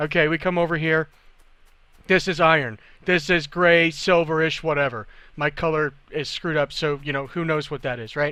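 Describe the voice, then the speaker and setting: The voice is bright and sharp, animated in tone and moving at a fairly quick pace. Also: man. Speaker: video game tutorial maker. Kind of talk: tutorial. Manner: fast.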